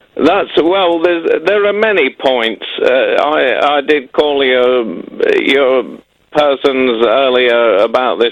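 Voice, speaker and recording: A man with a Midlands accent speaks at a very slow pace in a fairly high pitch. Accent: Midlands English, retained. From English Midlands. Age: 40s. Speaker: caller, ex-serviceman. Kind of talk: phone-in call. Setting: phone call from Japan. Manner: halting, repeats words.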